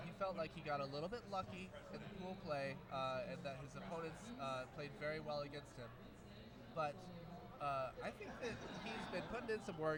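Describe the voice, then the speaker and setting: Noticeable background noise and audible room echo surround a man speaking at a moderate pace and fairly high pitch with lively intonation. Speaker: esports commentator. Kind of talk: live commentary. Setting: gaming expo. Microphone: quiet microphone.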